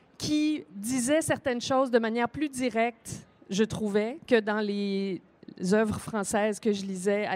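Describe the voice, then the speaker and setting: A woman speaks at a very slow pace. Her fairly high voice shows ordinary pitch variation. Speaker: author. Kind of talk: panel discussion. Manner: hesitant, many fillers.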